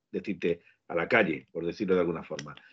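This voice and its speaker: A man is speaking. The background is quiet. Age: 50s. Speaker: football podcast co-host. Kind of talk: casual chat.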